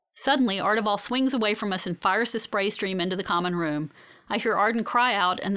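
In a natural reading voice, the speaker reads with ordinary pitch variation.

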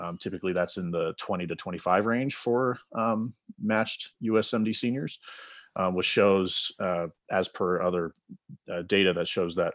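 In a normal speaking voice, a man talks at a fairly slow pace and a fairly low pitch with ordinary pitch variation. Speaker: podcast co-host, medical student. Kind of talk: podcast interview.

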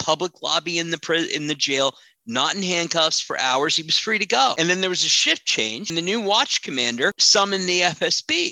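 A man talks at a moderate pace with a bright, sharp tone, fairly high pitch and ordinary pitch variation. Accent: American. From Washington, D.C. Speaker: crisis manager and PR consultant. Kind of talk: interview.

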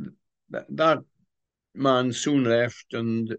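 A man at medium pitch with ordinary pitch variation, recorded dry and close with no echo against a quiet background. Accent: Welsh. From Wales. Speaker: retired pastor and author. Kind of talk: interview. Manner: hesitant, many fillers.

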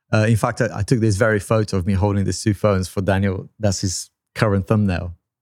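This man talks very fast at a fairly low pitch with fairly even intonation. The recording is very clean, with a silent background. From Brazil. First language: Portuguese. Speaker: tech YouTuber and podcast co-host. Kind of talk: casual chat. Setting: studio.

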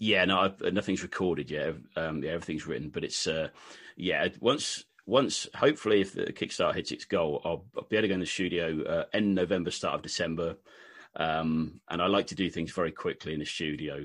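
On a very clean recording with a silent background, a man with a British accent speaks at a fairly quick pace. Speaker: country singer-songwriter. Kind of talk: casual interview chat. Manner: hesitant, filler-heavy.

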